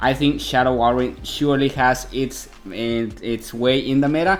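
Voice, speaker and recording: A man with a Mexican accent, at a fairly slow pace. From Mexico. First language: Spanish. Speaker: video game commentator. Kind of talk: gameplay commentary.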